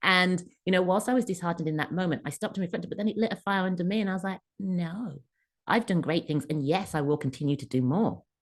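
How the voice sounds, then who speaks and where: With an English accent, a woman talks very fast at a medium pitch, her pitch variation ordinary. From England. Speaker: career coach and author. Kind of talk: podcast interview answer.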